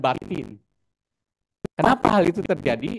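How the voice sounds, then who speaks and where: A man with a Javanese accent speaks at a moderate pace with lively intonation, and the sound is dry and close with no echo. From Solo, Central Java. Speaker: artist and lecturer. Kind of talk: lecture. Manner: conversational, many fillers.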